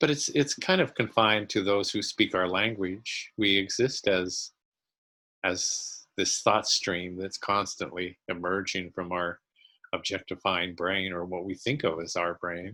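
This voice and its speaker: At a fairly slow pace, a man with a very deep, low pitch speaks in a bright, sharp tone with fairly even intonation. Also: very clean recording, silent background. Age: 70s. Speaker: spiritual teacher. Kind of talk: interview. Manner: rambling, reflective.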